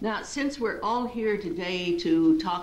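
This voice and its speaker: There is audible echo from the room. The speech comes at a fairly slow pace with ordinary pitch variation. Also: woman. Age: 60s. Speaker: clinical psychologist. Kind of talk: lecture.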